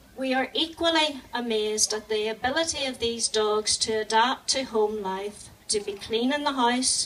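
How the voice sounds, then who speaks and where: In a Northern Irish accent, a woman with a fairly high pitch speaks at a moderate pace with ordinary pitch variation. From Northern Ireland. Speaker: animal charity volunteer. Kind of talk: charity speech.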